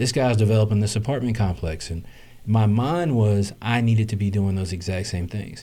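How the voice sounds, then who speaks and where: A man's fairly low, dark, mellow voice, somewhat breathy, at a moderate pace with ordinary pitch variation. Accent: American. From US South. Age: 30s. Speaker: real estate investor. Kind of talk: interview. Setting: live stream.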